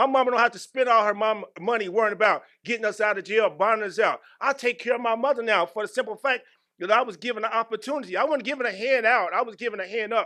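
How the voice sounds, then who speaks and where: Over a quiet background, a man in a raised, projected voice talks very fast, high-pitched, animated, and bright and sharp in tone. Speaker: employee giving testimony. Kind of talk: testimony. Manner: animated, preacher-like.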